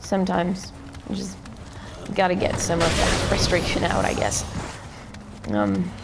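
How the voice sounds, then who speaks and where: With very wide pitch swings and long, frequent pauses, a woman speaks at a moderate pace and fairly low pitch amid audible room echo and noticeable background noise. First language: not English. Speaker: gaming YouTuber. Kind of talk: gameplay tutorial commentary. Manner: hesitant, many fillers.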